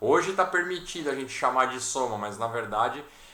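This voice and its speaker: A man speaks in a bright, sharp tone, with audible echo from the room. His pitch swings very widely. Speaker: programming teacher. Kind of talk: online class. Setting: video call.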